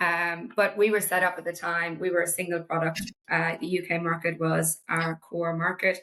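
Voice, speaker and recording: A woman speaks with an Irish accent at a fairly low pitch and a moderate pace. Her intonation is a flat monotone, and her tone is bright and sharp. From small town in Ireland. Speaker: marketing executive. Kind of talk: casual interview chat.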